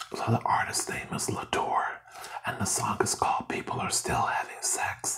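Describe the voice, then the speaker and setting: A soft-spoken man whispers at a moderate pace. Light background noise can be heard. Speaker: channel host. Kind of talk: casual vlog chat. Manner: soft whisper close to microphone. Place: home room. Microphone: phone near.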